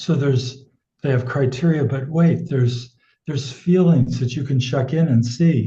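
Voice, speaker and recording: A man with an American accent speaks at a moderate pace in a somewhat breathy voice with a dark, mellow tone and fairly even intonation. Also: medium pitch for a man. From United States. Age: 70s. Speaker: sex educator. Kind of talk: casual interview.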